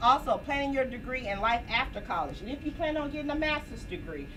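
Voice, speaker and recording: Loud and very fast, a woman with a high pitch and ordinary pitch variation is heard over noticeable background noise and audible room echo. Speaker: academic advisor. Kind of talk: orientation presentation.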